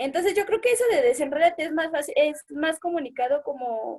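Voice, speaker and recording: With lively intonation, a woman talks in a high register. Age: young. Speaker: youth group participant. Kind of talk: casual chat.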